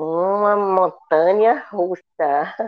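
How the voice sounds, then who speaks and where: With ordinary pitch variation, a woman speaks in a fairly low register. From Ceará, Brazil (interior). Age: 60s. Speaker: retired school principal and teacher. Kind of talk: personal testimony in interview.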